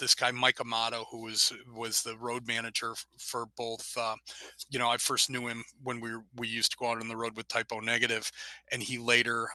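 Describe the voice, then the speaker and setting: A man with an American accent speaks at medium pitch in a bright, sharp tone, monotone and flat, with a dry, close sound with no echo. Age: 60s. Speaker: rock musician. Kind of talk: interview.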